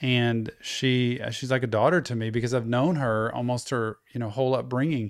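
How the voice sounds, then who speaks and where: On a very clean recording with a silent background, a man with a normal speaking voice talks at a moderate pace in a medium pitch with fairly even intonation. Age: 50s. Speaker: podcast host. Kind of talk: casual interview conversation.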